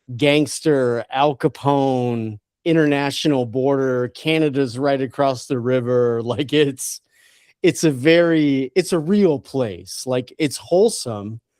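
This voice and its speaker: Someone with a strong Detroit accent speaks at a very slow pace on a very clean recording with a silent background. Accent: heavy Detroit. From Detroit, US Midwest. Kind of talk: casual chat. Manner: long drawn vowels.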